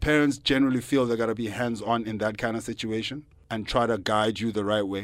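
The recording is very clean, with a silent background. A man at a medium pitch speaks at a very fast pace with fairly even intonation. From South Africa, Johannesburg. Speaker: stand-up comedian. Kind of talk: casual interview. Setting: radio studio.

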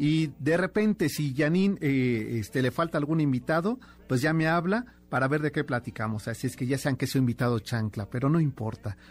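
A somewhat breathy man at a fairly high pitch, moderate pace and very even loudness, on a very clean recording with a silent background. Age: 50s. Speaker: radio host. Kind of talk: radio show with scripted history narration. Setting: radio studio.

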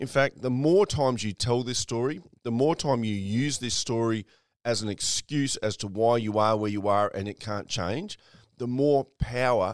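This man speaks at a medium pitch with an Australian accent and ordinary pitch variation. The sound is dry and close, with no echo. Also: very clean recording, silent background. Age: 50s. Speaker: podcast host and mindset mentor. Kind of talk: motivational monologue.

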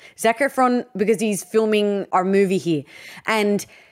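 A woman with an Australian accent talks on a very clean recording where the background is silent. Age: 30s. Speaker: podcast co-host. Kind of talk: casual chat. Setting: at home, bedroom.

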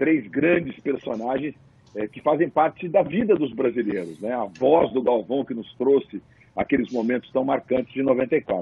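A man talks in a plain, everyday voice. His pitch is medium, his pace moderate, and his intonation lively. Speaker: sports commentator. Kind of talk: casual panel discussion.

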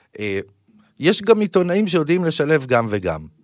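The recording is very clean, with a silent background. A man speaks at a moderate pace with very wide pitch swings. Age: 30s. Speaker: podcast host. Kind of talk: interview conversation.

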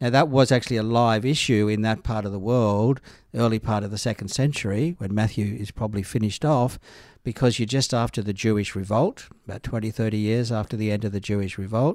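On a very clean recording with a silent background, a man speaks with an Australian accent. His pitch is fairly low with ordinary variation, and his pace is fairly quick. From Australia, northern New South Wales. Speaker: biblical scholar and priest. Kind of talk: casual discussion.

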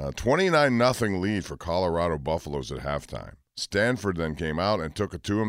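A man speaks fairly quickly in a very deep, low voice with vocal fry and lively intonation. The recording is very clean, with a silent background. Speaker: sports radio host. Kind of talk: sports talk radio. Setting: studio.

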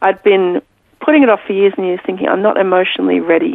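A woman speaks with an Australian accent. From Pakistan and Australia. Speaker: author. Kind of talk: interview. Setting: remote from home.

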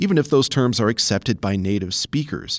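A man has a plain, everyday voice at a medium pitch with ordinary pitch variation. He speaks at a fairly quick pace on a very clean recording with a silent background. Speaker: news reader and underwriting announcer. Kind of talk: news reading.

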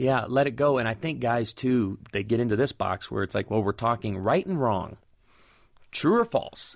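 Against a quiet background, a man with an unremarkable speaking voice and medium pitch talks at a moderate pace. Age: 40s. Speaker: pastor. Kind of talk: casual chat.

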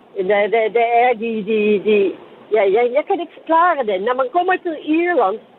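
Over noticeable background noise, a man with a Dutch accent speaks very slowly at an extremely high pitch, swinging very widely up and down. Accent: Dutch-accented Danish. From Netherlands. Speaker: caller, lorry driver. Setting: phone call.

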